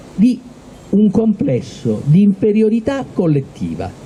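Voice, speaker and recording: Noticeable background noise runs behind a man whose pitch swings very widely. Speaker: event host. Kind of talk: public talk to a live audience.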